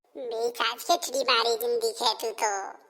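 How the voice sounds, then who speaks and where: A cartoonish character voice that sounds female. It moves at a moderate pace. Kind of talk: cartoon comedy dialogue.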